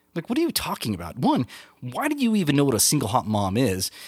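This man speaks at a fairly quick pace. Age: 40s. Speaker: podcast host. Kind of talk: casual solo monologue. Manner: halting, many fillers and repeats.

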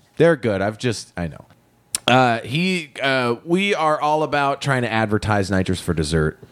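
A loud man's voice at medium pitch, fairly slow, with very wide pitch swings. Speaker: podcast host. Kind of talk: casual chat; scripted disclaimer and credits.

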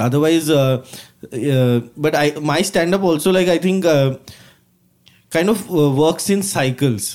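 A fairly high-pitched man with an Indian accent, at a fairly slow pace with long, frequent pauses, very even loudness and ordinary pitch variation. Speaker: stand-up comedian. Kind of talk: casual chat.

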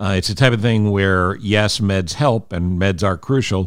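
In a very clean recording with a silent background, a man with an American accent uses an ordinary speaking voice at a fairly low pitch with ordinary pitch variation. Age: 60s. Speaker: radio host and podcaster. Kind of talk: solo podcast monologue. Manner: earnest.

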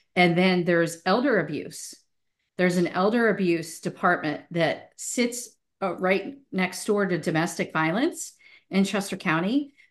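In an American accent, a woman with an unremarkable speaking voice talks at a fairly slow pace, with medium pitch and ordinary pitch variation, over a quiet background. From US, Italian American family. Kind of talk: casual interview chat.

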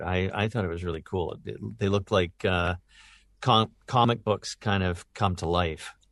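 Moderately paced, a man talks at a fairly low pitch. The sound is dry and close with no echo, against a quiet background. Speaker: voice actor. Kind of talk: casual interview chat.

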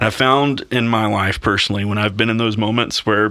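This voice has a bright, sharp tone and comes with a Southern US accent. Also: man. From US South, Mississippi. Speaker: worship pastor. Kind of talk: casual interview. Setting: on location.

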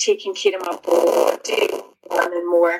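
A woman is speaking. She has a Scottish accent. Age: 30s. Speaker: author. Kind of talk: casual chat. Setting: video call.

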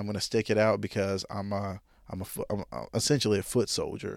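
With an Arkansas accent, a man speaks at a fairly low pitch and a moderate pace, his intonation monotone and flat. The recording is very clean, with a silent background. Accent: US Southern (Arkansas). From Arkansas, Jonesboro. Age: 20s. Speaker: podcast host. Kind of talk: solo monologue, casual personal talk.

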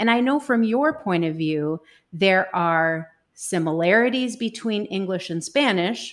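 Woman with an ordinary speaking voice at medium pitch, lively intonation, and a fairly slow pace, in a very clean recording with a silent background. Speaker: podcast host. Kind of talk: interview conversation.

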